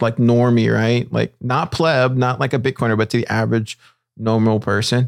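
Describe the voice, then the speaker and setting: A normal speaking voice at a moderate pace. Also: man. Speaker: podcast host. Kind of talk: casual interview chat.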